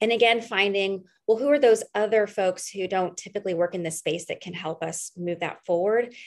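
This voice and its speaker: A woman's unremarkable speaking voice at medium pitch, fairly quick in pace with hardly any pauses and ordinary pitch variation. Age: 30s. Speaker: political candidate. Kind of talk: interview.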